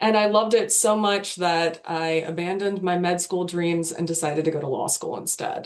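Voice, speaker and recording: An ordinary speaking voice from a woman with an American accent and fairly low pitch, at a moderate pace with fairly even intonation and hardly any pauses. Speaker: legal tech product marketer. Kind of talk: webinar panel discussion.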